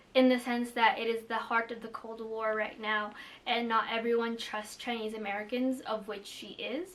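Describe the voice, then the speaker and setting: A woman with a Filipino accent speaks with fairly even intonation. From Philippines. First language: Tagalog. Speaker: booktuber. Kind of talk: casual vlog chat. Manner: casual, many fillers.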